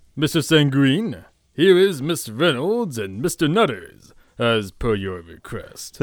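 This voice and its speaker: A man uses a put-on character voice, fairly high in pitch, with very wide pitch swings at a fairly slow pace. The recording is very clean, with a silent background. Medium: audio drama. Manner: formal, polite.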